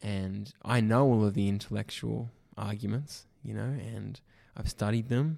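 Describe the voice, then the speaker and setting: A man with an Australian accent at a very slow pace, in a very clean recording with a silent background. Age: 20s. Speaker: church youth ministry worker. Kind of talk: casual chat.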